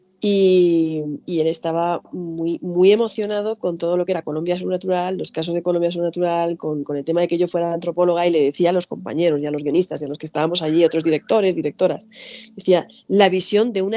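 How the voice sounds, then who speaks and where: Speaking with a Spanish accent, a woman keeps a fairly quick pace. Her pitch is fairly low. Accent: Spanish (Spain). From Spain. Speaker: anthropologist and author. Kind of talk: interview. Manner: animated.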